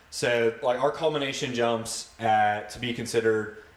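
A man with an American accent speaks at a medium pitch. Noticeable background noise can be heard. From Ohio, Cleveland and Columbus suburbs. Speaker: army special forces soldier. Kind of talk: casual chat. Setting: home basement.

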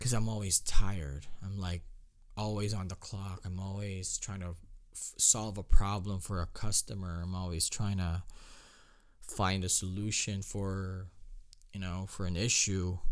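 A man speaks at a fairly slow pace, his loudness swinging widely. His intonation is flat and monotone. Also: fairly low pitch for a man. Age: 20s. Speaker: podcast host. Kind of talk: solo podcast monologue. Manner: halting, many fillers and restarts.

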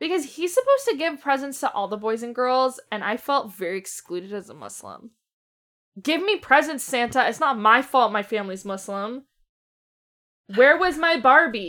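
In a raised, projected voice, a woman speaks at a moderate pace with high pitch, an animated tone, very wide pitch swings and big swings in loudness. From Canada. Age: 20s. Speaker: horror movie podcast co-host. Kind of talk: casual chat.

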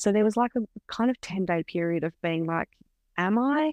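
A woman with an Australian accent speaks at a medium pitch with lively intonation, her voice sounding dry and close with no echo against a quiet background. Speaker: beauty industry professional and hypnobirth educator. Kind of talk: casual interview chat.

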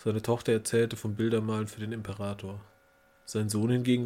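Fairly even intonation across plain reading aloud

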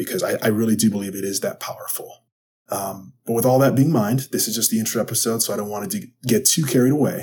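A somewhat breathy man with an American accent, medium pitch, dark and mellow tone, ordinary pitch variation and very fast pace. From Wisconsin. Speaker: podcast host and sports psychology coach. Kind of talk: solo podcast monologue.

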